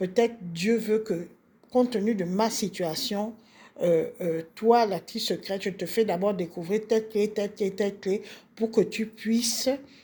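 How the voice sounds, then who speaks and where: Fairly high in pitch yet dark and mellow in tone, a woman speaks fairly slowly with fairly even intonation. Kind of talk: spiritual teaching monologue. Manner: hesitant with fillers.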